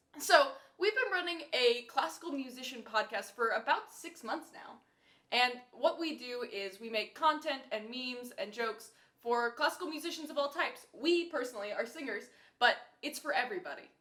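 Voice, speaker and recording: Raised and projected, a woman's high voice with an American accent carries lively intonation, big swings in loudness, and a moderate pace. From US South, Nashville, Tennessee. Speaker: podcast host, classical singer. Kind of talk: casual chat.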